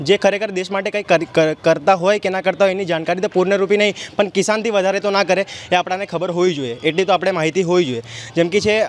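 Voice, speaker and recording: This man's voice is high-pitched and his intonation fairly even. The sound is dry, with no echo. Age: young. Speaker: first-time voter, recent school graduate. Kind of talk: vox pop interview; interview answer. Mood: critical, earnest political opinion. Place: street. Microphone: handheld.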